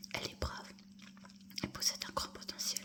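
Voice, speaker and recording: Whispering comes through against noticeable background noise. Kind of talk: whispered audiobook-style reading of a novel (ASMR). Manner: whispered, soft.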